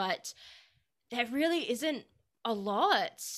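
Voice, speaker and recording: Her bright, sharp tone swings very widely in pitch as this woman speaks over a silent background in a very clean recording. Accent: Australian. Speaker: podcast host. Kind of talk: interview.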